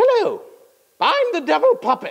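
This is a put-on character voice at an extremely high pitch, spoken at a moderate pace.

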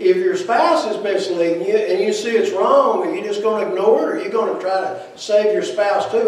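A man's voice carries audible room echo. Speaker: preacher. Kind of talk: sermon. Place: church.

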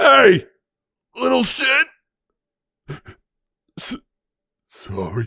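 It's a raspy, put-on character voice. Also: man. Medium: dub. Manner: gruff, exasperated.

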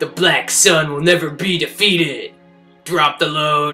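Faint music plays in the background. A man speaks at a fairly slow pace with a fairly high pitch. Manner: menacing, grandiose.

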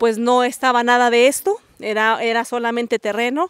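The pace is moderate against a quiet background. The sound is dry, with no echo. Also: woman. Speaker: local guide telling family history. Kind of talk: interview answer. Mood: warm, nostalgic. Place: open country. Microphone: handheld.

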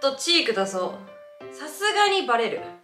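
A woman speaks at a fairly quick pace. Room echo is audible, and music plays clearly in the background. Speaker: vlogger. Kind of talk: casual vlog chat. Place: home room. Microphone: camera far.

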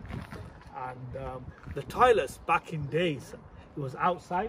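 A man with a fairly high pitch is heard over noticeable background noise. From Sheffield, England (came from abroad aged five). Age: 40s. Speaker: vlogger. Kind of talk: casual vlog narration. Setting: outdoors and in a car.

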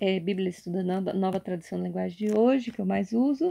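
Her tone is dark and mellow, and this woman's pitch variation is ordinary. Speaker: YouTuber. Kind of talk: casual show-and-tell vlog. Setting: at home at night. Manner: halting, repetitive. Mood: warm, devotional. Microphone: phone near.

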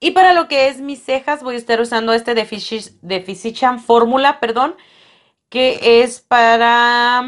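A woman's fairly high voice at a very slow pace, against a quiet background. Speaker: beauty vlogger. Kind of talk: product review vlog. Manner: casual.

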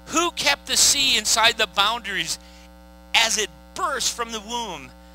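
A man talks at a fairly slow pace. His voice sounds dry with no echo, with music in the background. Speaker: pastor. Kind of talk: sermon scripture reading. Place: stage. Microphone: headset.

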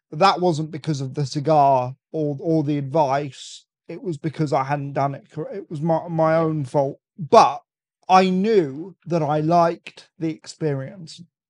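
A man with a British accent talks at a fairly slow pace and fairly high pitch. His intonation is fairly even, and the sound is dry and close with no echo. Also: quiet background. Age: 20s. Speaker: cigar enthusiast guest. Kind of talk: casual chat. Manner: stammering, repeats words often.

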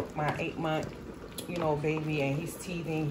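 Noticeable background noise sits behind a woman's voice. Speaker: home cook vlogger. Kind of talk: casual vlog chat. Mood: a bit stressed, apologetic. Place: kitchen. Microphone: phone near.

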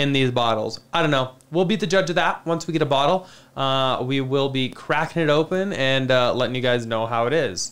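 A man talking at a fairly quick pace with hardly any pauses and ordinary pitch variation. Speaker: livestream host. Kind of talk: casual livestream commentary. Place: studio. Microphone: studio mic.

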